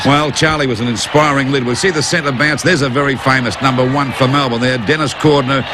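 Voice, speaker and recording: A man's fairly high voice at a very fast pace with hardly any pauses, fairly even intonation and noticeable background noise. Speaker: retired footballer. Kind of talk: sports commentary over old footage.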